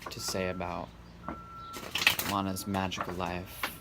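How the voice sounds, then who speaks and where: Noticeable background noise sits behind a voice moving at a fairly slow pace. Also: man. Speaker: tarot reader. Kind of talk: tarot reading monologue. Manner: monotone, bland.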